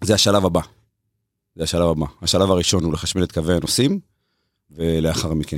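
A man speaks with a very deep, low pitch and fairly even intonation. He leaves long, frequent pauses on a very clean recording with a silent background. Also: fairly quick pace. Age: 30s. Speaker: railway electrification project manager. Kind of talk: interview. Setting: studio.

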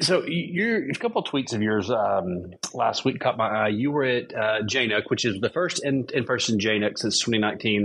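This man has a normal speaking voice at medium pitch, with ordinary pitch variation, very even loudness and a moderate pace. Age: 30s. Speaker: podcast host. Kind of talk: casual interview chat.

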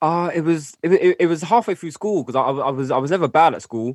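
A man with a London accent at a very fast pace, ordinary pitch variation, a dry, close sound with no echo, and a quiet background. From North West London. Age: 20s. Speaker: rapper. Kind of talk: casual chat.

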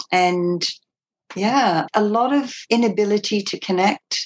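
A speaker with an Australian accent is heard in a dry, close sound with no echo. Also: woman. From England, moved to Australia as a child. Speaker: former cult member. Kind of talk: interview testimony.

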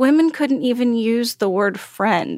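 A woman with an American accent speaks at a moderate pace in a fairly high pitch, an unremarkable speaking voice. The recording is very clean, with a silent background. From Texas. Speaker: author. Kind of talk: interview.

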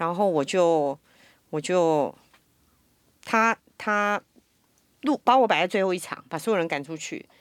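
In a very clean recording with a silent background, a woman with a Taiwanese accent speaks fairly slowly at a fairly low pitch, with lively intonation and long, frequent pauses. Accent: Taiwanese Mandarin. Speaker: voice actor. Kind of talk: casual chat.

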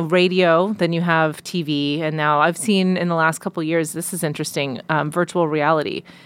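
A woman with an American accent uses a plain, everyday voice at a fairly low pitch. She keeps a moderate pace with fairly even intonation and hardly any pauses. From Long Island, New York. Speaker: sideline reporter. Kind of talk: casual chat. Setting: studio.

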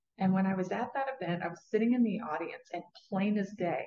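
A woman with an American accent speaks at a fairly quick pace and medium pitch in an unremarkable speaking voice. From Southwest Virginia, rural Appalachia. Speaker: neuroscience wealth mentor, former neurosurgery professional. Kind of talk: interview. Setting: live recording at an event.

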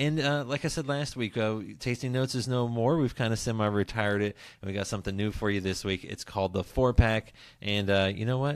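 A man with an American accent has an unremarkable speaking voice at a medium pitch, showing ordinary pitch variation. He moves at a fairly quick pace in a very clean recording with a silent background. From West Virginia. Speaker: podcast host. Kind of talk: casual interview chat. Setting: home studio at dining table.

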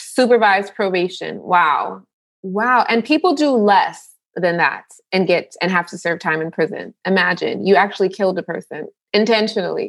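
A woman speaks at a moderate pace and medium pitch. Her voice carries vocal fry and ordinary pitch variation. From New York, Jamaican family. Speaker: nurse and author. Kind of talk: casual chat.

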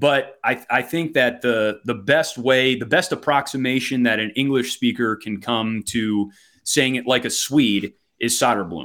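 A man with a Wisconsin accent speaks at a fairly slow pace and medium pitch. The recording is very clean with a silent background. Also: ordinary pitch variation. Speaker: hockey play-by-play announcer. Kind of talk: casual interview.

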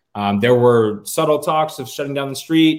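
A man with an American accent speaks at a fairly quick pace, with ordinary pitch variation and a plain, everyday voice. The recording is very clean, with a silent background. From western New York, Rochester. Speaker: fan club organizer. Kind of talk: casual chat.

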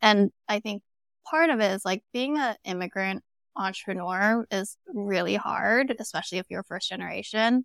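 In an American accent, a woman speaks at a moderate pace with a medium pitch and ordinary pitch variation. The sound is dry and close with no echo, a very clean recording with a silent background. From Southern California, Los Angeles area. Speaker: startup founder and CEO. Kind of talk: interview conversation. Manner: casual, many fillers like 'like' and 'um'.

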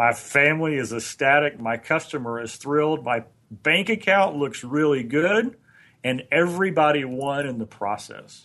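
This man has a bright, sharp tone and a fairly high pitch, with ordinary pitch variation. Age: 50s. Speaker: motivational trainer. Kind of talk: casual chat.

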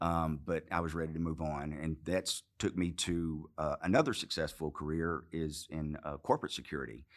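Speaking with a slight Arkansas accent, a man with a very deep, low pitch keeps a moderate pace, fairly even intonation and hardly any pauses. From Arkansas, US South. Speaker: former Marine, businessman. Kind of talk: interview.

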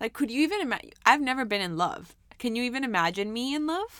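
On a very clean recording with a silent background, a woman speaks loudly and in an animated tone, with lively intonation at a moderate pace. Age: 20s. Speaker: podcast host. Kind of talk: casual chat.

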